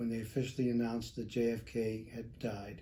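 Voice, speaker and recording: Using an American accent, a man speaks at a medium pitch and moderate pace in a somewhat breathy voice with a dark, mellow tone. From Chicago, US Midwest. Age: 70s. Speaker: retired air force veteran, insurance agent. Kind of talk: interview. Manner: halting, with fillers.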